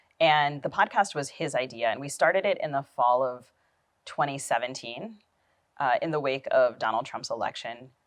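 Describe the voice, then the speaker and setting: A woman with an American accent, a very deep, low pitch and a fairly quick pace. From United States, Tamil descent. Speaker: novelist and writing teacher. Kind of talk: interview.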